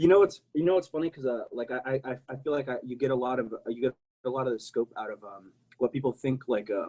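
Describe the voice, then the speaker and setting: Speaking at a very fast pace, a man keeps a medium pitch. His pitch varies in an ordinary way. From South Texas border region. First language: Spanish. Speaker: prosthetic user and public speaker. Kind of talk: casual podcast interview. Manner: halting with many repetitions; animated.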